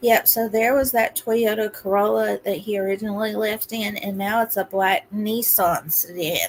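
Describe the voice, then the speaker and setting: A woman talking with hardly any pauses over noticeable background noise. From Kentucky, rural Appalachia. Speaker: true crime livestream host. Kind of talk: casual livestream commentary.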